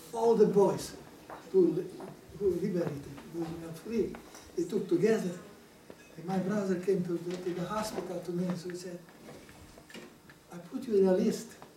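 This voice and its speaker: Fairly even intonation with long, frequent pauses and big swings in loudness, amid audible room echo and noticeable background noise. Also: man, high pitch for a man, moderate pace. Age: 80s+. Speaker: Holocaust survivor. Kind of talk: testimony. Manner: halting.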